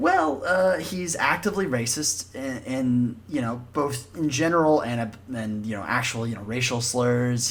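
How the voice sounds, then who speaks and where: Somewhat breathy and with lively intonation, a man talks at a moderate pace amid audible room echo. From Alabama, US South. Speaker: podcast host. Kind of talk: casual chat.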